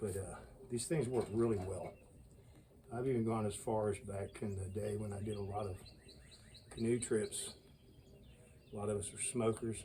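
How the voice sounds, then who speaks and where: At a moderate pace with long, frequent pauses, a man speaks in a fairly low, somewhat breathy voice of dark, mellow tone and fairly even intonation. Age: 60s. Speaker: bushcraft YouTuber. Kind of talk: casual outdoor tutorial.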